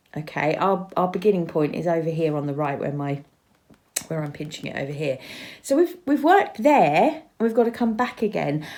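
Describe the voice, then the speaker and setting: Her pitch swinging very wide, a woman gets through her words at a fairly quick pace. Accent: English. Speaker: crochet teacher. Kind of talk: tutorial. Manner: casual, chatty with hesitations.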